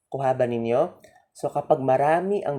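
On a very clean recording with a silent background, the words arrive at a fairly slow pace. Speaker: teacher. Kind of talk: lecture.

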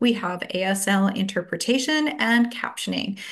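A woman's somewhat breathy voice with ordinary pitch variation against a quiet background. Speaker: event host from gallery. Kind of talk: event introduction. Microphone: video call.

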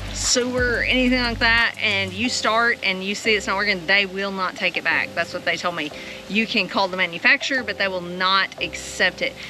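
A woman speaking at a fairly quick pace with hardly any pauses, ordinary pitch variation, and faint music in the background. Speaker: farm vlogger. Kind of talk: casual vlog chat. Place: farm machine. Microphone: phone near.

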